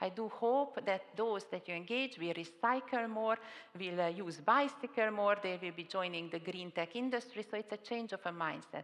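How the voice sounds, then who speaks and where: The voice, with a Hungarian accent, moves at a moderate pace. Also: woman, medium pitch for a woman, ordinary pitch variation. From Hungary. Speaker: panel moderator, public official. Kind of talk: conference panel moderation. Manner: hesitant, with fillers.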